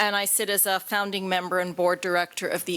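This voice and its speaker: A woman with a Canadian accent speaks at medium pitch. She has a plain, everyday voice and a moderate pace. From Canada. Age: 50s. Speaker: patient advocate. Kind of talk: conference talk.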